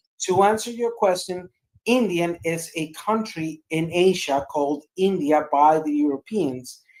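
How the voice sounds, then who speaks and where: A woman with a non-native accent, fairly low in pitch, at a very slow pace with ordinary pitch variation. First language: not English. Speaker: debate panelist. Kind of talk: heated debate. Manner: animated.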